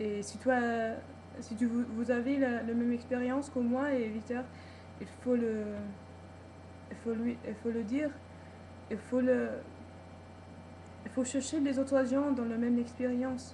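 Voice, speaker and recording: A woman with a high pitch speaks in a monotone, flat way with long, frequent pauses, amid noticeable background noise and audible room echo. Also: fairly slow pace. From United States. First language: English (speaking French). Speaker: vlogger. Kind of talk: personal video vlog. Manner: halting, many repetitions and hesitations.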